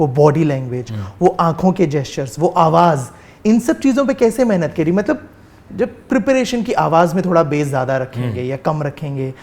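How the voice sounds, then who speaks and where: A man with a high voice talks using lively intonation. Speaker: interview host. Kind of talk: interview question.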